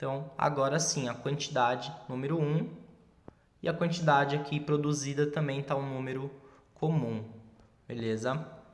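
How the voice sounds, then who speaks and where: A man's fairly high voice at a moderate pace, with long, frequent pauses and audible room echo. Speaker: teacher. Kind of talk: tutorial. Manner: casual.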